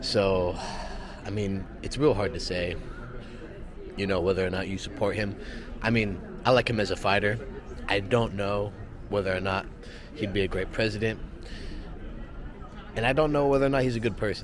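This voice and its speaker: A man with a fairly low pitch speaks at a moderate pace, leaving long, frequent pauses. The room echo is audible. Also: ordinary pitch variation. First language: Spanish. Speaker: travel vlogger. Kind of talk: casual vlog talk to camera. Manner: rambling, many fillers.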